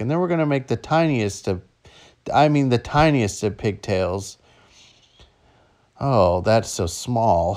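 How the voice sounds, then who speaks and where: On a very clean recording with a silent background, a man talks at a moderate pace. He has an ordinary speaking voice and lively intonation. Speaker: dad narrating his daughter's hair tutorial. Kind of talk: humorous tutorial narration.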